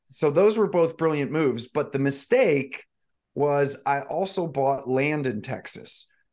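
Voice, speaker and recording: A man's fairly high voice with an American accent, fairly slow, with ordinary pitch variation. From US Midwest, St. Louis, Missouri. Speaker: real estate investor and agent. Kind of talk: podcast interview.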